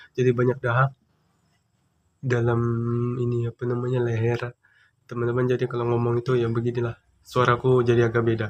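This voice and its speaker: Soft-spoken and monotone with flat intonation, a man of medium pitch talks at a fairly quick pace broken by long, frequent pauses. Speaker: YouTuber. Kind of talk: tutorial. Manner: speaking softly; casual, chatty.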